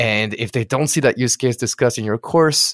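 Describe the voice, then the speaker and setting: A man speaks at a medium pitch with a French accent and ordinary pitch variation. His pace is fairly quick, and the sound is dry and close with no echo. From France. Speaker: online course instructor. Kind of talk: interview. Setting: remote recording.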